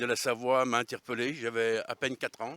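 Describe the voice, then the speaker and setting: On a very clean recording with a silent background, a man at medium pitch sounds dry and close with no echo. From Savoy, France (Albanais area). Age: 60s. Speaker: regional political activist. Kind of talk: interview. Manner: hesitant, many fillers.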